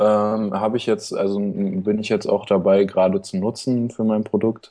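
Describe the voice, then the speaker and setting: A man speaks in a fairly low pitch with a dark, mellow tone. His pace is moderate. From Berlin. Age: young. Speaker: student and online seller. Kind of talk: casual interview. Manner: halting, many fillers.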